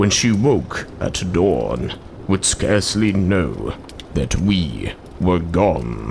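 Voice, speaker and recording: Putting on a character voice, a man speaks very slowly with a very deep, low pitch, very wide pitch swings and very even loudness over clear background noise. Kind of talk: poetry reading.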